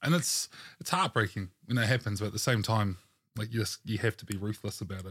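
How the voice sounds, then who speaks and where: Fairly low in pitch, a man talks with a New Zealand accent at a fairly quick pace, with ordinary pitch variation and big swings in loudness. The sound is dry and close with no echo, on a very clean recording with a silent background. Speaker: podcast host, tabletop game consultant. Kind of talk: casual interview chat.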